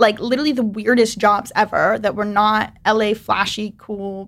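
A woman speaks in an ordinary speaking voice, fairly high in pitch, at a moderate pace. Her intonation stays fairly even, and the recording is very clean with a silent background. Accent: American. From US South. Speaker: video editor. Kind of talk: casual chat.

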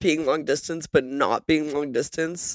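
In a very clean recording with a silent background and a dry, close sound with no echo, a normal speaking voice moves at a moderate pace. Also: woman. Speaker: guest. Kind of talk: casual chat.

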